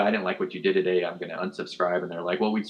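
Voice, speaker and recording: Speaking with an American accent, a man has a fairly low pitch. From US Midwest (Fort Wayne, Indiana). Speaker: journalist, lecturer. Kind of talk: lecture. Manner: fast; animated.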